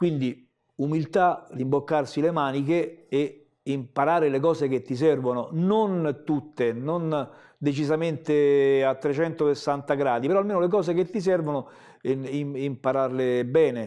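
Against a quiet background, a man speaks at a fairly slow pace with a dark, mellow tone. His pitch is fairly high and varies in an ordinary way. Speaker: comic book artist. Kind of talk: interview answer. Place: studio.

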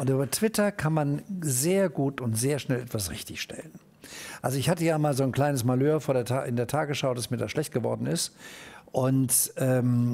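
A man with a dark, mellow tone talks at a moderate pace and medium pitch, with ordinary pitch variation. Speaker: TV news anchor. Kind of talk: interview answer. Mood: relaxed, amused storytelling. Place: studio. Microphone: headset.

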